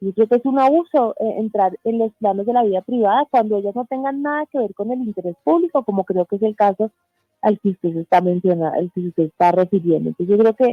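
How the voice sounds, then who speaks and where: A woman talking very fast with lively intonation, music playing in the background. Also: fairly high pitch for a woman. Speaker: journalist and press freedom foundation board member. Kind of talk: radio interview. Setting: radio studio remote interview.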